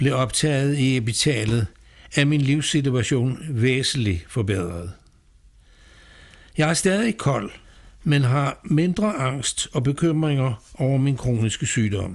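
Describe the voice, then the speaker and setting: A man's fairly high, somewhat breathy voice with very wide pitch swings and very even loudness, at a very slow pace with long, frequent pauses. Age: 80s+. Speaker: patient advocate. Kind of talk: scripted narration. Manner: formal.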